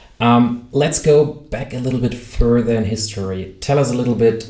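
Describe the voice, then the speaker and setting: Amid audible room echo, a man with a medium pitch and a dark, mellow, somewhat breathy voice talks at a moderate pace. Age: 30s. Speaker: podcast host. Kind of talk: podcast interview.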